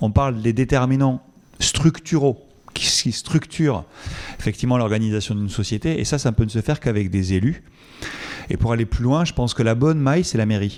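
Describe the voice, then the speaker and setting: Speaking in a Toulouse accent at a fairly quick pace, the voice shows ordinary pitch variation and long, frequent pauses. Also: man, medium pitch for a man. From southern France, Toulouse. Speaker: epidemiologist, research director. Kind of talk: conference Q&A. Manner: hesitant, many fillers.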